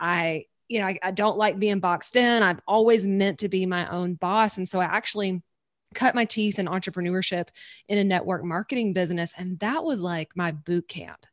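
In a Southern US accent, a woman speaks at a medium pitch and moderate pace. The sound is dry and close with no echo, on a very clean recording with a silent background. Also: ordinary pitch variation. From Louisiana, US South. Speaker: podcast host and business coach. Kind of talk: casual interview chat. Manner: animated, excitable.

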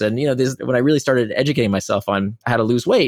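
A man's medium-pitched voice at a very fast pace, lively in intonation, with a dry, close sound and no echo. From Israel. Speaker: author and behavioral designer. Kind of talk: interview.

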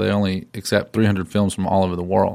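On a very clean recording with a silent background, a man speaks with a Southern US accent. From western North Carolina. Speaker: filmmaker. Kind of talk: casual interview.

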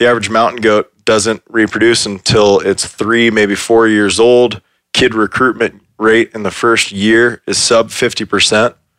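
A man talks at a fairly slow pace in a monotone, flat intonation with hardly any pauses. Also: medium pitch for a man. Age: 20s. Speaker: wildlife conservation group founder. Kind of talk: casual chat.

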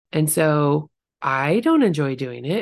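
Against a quiet background, a woman speaks in a very deep, low pitch with vocal fry. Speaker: podcast host and real estate agent. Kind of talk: solo podcast monologue. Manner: casual, chatty.

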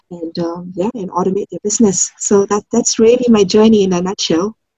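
A woman's somewhat breathy voice, dark and mellow, with fairly even intonation. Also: dry, close sound with no echo. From Singapore. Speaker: branding expert and business coach. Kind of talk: interview.

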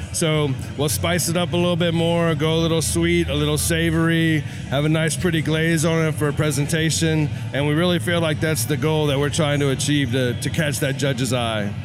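An American-accented man, fairly high in pitch, with ordinary pitch variation and very even loudness over noticeable background noise. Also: fairly quick pace. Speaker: barbecue competitor. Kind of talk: casual interview. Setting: outdoors at barbecue festival.

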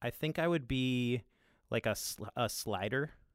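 An unremarkable speaking voice from a man, medium in pitch and fairly slow, with a dry, close sound with no echo and a very clean recording, silent background. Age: 30s. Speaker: podcast creator and producer. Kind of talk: casual interview.

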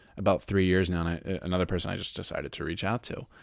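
The recording is very clean, with a silent background. A man speaks in a very deep, low pitch. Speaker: podcast host and author. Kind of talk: interview conversation.

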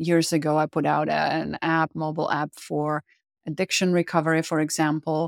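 A woman with a Czech accent and a very deep, low pitch, flat and monotone, on a very clean recording with a silent background and a dry, close sound with no echo. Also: moderate pace. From Czech Republic. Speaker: psychotherapist and business owner. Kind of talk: monologue.

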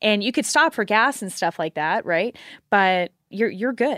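In a very clean recording with a silent background, a woman with a Texan accent speaks at medium pitch, the sound dry and close with no echo. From Houston, Texas. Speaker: competitive shooter. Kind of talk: casual chat.

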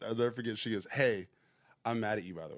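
The man has an American accent, a medium pitch and ordinary pitch variation. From US South, Georgia. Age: 30s. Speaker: music producer and songwriter. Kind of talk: casual interview chat.

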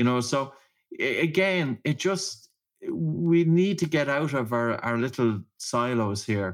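A man in an Irish accent, very slow, fairly high in pitch, with very wide pitch swings. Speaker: breathing practitioner and author. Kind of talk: interview.

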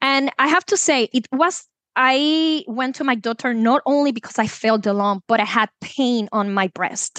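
A woman with a Puerto Rican accent, high in pitch, with lively intonation, a moderate pace and hardly any pauses, in a dry, close sound with no echo against a quiet background. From Puerto Rico. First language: Spanish. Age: 30s. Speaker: chemist and wellness coach. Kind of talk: personal testimony interview.

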